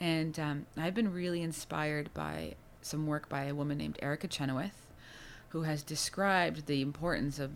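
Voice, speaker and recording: A woman's very deep, low voice with ordinary pitch variation at a moderate pace. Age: 30s. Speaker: climate policy executive. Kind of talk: interview. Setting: office.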